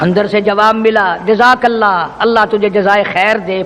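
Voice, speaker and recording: A man speaks in a passionate tone with a high pitch. Background noise is noticeable. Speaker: Islamic preacher (qari). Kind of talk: Islamic sermon (taqreer / bayan). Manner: passionate, oratorical, emphatic, addressing the audience directly.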